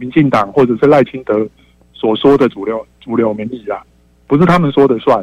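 Recorded with a dry, close sound and no echo, a man with a plain, everyday voice talks at a moderate pace. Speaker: radio call-in listener. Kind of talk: call-in opinion.

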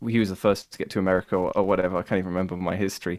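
On a very clean recording with a silent background, a man speaks with a strong northern English accent. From Cumbria, northern England. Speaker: YouTube music podcaster. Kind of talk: casual interview.

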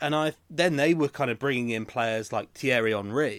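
A man talks with a normal speaking voice at medium pitch. Both his pace and his pitch variation are moderate and ordinary. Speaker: podcast host. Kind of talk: casual chat. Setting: video call.

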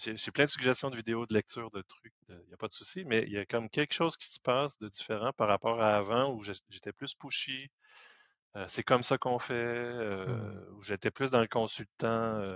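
Loudness swings widely as a man talks at a moderate pace with fairly even intonation. He has a plain, everyday voice. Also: medium pitch for a man. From Quebec. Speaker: IT professional. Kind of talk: casual chat.

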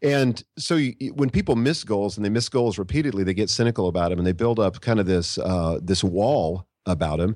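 On a very clean recording with a silent background, a man with an ordinary speaking voice talks fairly quickly at a fairly low pitch, with lively intonation and hardly any pauses. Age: 50s. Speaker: author and leadership blogger. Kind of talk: interview.

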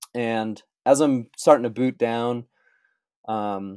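In a General American accent, a dark, mellow voice comes through with a dry, close sound with no echo on a very clean recording with a silent background. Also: man. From Colorado. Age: 30s. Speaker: ski mountaineer. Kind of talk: interview testimony.

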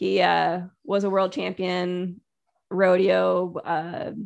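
This woman has a medium pitch with ordinary pitch variation. Vocal fry runs through her voice. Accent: American. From Connecticut. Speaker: dog and horse trainer. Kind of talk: casual chat.

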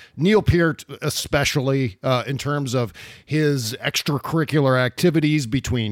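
Using a normal speaking voice, a man with an American accent talks at a moderate pace and a fairly high pitch, with ordinary pitch variation. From United States. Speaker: podcast host. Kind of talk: casual interview and ad reads. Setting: video call.

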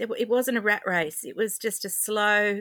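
A woman talks at a fairly slow pace with ordinary pitch variation. The recording is very clean, with a silent background. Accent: Australian. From regional New South Wales, Albury. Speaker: handmade crafts maker, former interior designer. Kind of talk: interview conversation.

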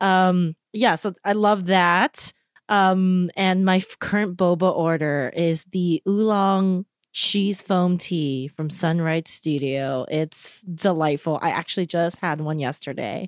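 A woman's fairly low voice at a very slow pace with ordinary pitch variation, in a dry, close sound with no echo. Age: 30s. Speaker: pop culture podcast co-host. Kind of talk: casual chat. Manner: animated.

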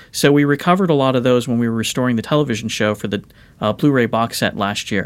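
On a very clean recording with a silent background, a man with a Californian accent talks at a fairly quick pace, using a medium pitch and ordinary pitch variation. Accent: Californian American. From Los Angeles. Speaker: record producer and music historian. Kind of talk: interview.

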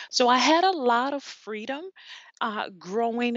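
In an American accent, a woman speaks with lively intonation. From US South, New Orleans, Louisiana. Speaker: life coach and professor. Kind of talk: interview. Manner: animated.

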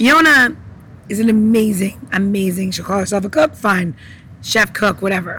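This woman's medium-pitched voice comes through with noticeable noise in the background. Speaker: cocktail mixologist co-host. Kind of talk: casual chat. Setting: outdoors.

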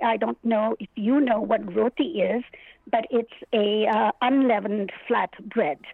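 Her delivery is very slow. This woman's pitch varies in an ordinary way. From India. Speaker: children's author, retired teacher. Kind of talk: interview. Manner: animated, laughs often.

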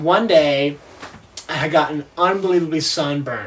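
With noticeable background noise behind him, a man speaks at a moderate pace and a fairly high pitch. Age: 20s. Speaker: yacht deckhand, reality TV cast member. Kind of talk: casual interview. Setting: on a sailboat.

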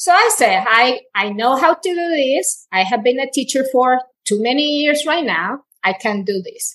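In a Spanish accent, a woman talks at a moderate pace with a high pitch and very wide pitch swings. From Colombia. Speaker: Spanish teacher. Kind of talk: interview, personal story.

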